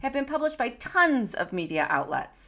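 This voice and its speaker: On a very clean recording with a silent background, a woman with a slight Michigan accent speaks at a fairly quick pace in an animated, bright, sharp tone, her high pitch making very wide swings. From Michigan, US Midwest. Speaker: podcast host. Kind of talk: casual chat; scripted show intro.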